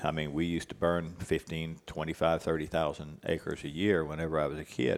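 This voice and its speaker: Talking at a fairly quick pace, a man with a very deep, low voice keeps his intonation flat and monotone. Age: 60s. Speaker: cattle rancher and ranch manager. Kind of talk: casual interview conversation.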